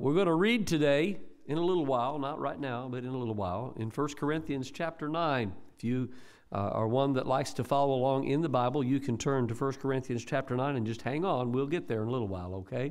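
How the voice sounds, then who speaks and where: A man talks at a very fast pace, with a quiet background behind him. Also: ordinary pitch variation. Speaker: pastor. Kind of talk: sermon. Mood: warm, conversational. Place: church. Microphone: podium.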